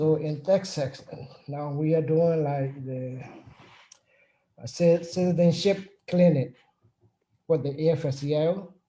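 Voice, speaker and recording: A man with a non-native accent speaks at a fairly high pitch in a dark, mellow tone. His pace is fairly slow, with fairly even intonation and long, frequent pauses. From Burma. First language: not English. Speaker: union chapter president. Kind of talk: panel discussion. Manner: halting.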